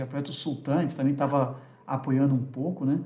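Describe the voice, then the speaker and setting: The man's voice is dark and mellow in tone, with some breathiness. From Rio de Janeiro, Brazil. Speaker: tech industry executive. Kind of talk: casual interview chat.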